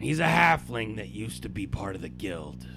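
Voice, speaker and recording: Over clear background noise, a man in a put-on character voice talks at a moderate pace with a very deep, low pitch. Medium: actual play. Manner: gruff, blunt.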